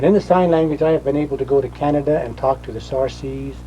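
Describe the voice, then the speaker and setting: Over noticeable background noise, a man talks with an American accent. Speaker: rock art interpreter and author. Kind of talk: documentary interview.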